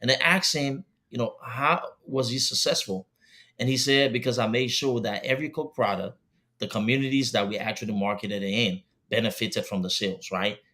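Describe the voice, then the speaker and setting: Over a silent background in a very clean recording, a man talks at a fairly quick pace in a bright, sharp tone with ordinary pitch variation. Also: medium pitch for a man. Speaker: talk show host. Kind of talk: panel discussion. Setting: live studio stream. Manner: fast.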